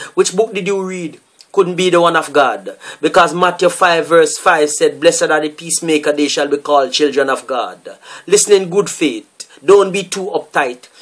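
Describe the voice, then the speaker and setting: A man speaks in a solemn tone at a moderate pace. Behind him the background is quiet. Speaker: poet. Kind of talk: performed spoken-word poem, delivered as a fiery, accusatory protest piece. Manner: forceful, declamatory, rhythmic; solemn and indignant, with refrain-like repetition. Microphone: webcam.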